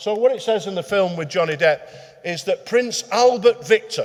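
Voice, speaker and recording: There is noticeable background noise. Over it, a man speaks at a moderate pace. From northern England, Manchester. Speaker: retired detective and crime historian. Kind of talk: public talk. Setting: meeting hall with live audience. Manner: hesitant, with many fillers.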